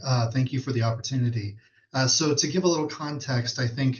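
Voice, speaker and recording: A man speaks here. His voice is somewhat breathy. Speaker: state fatherhood commission official. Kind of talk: webinar presentation. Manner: fast.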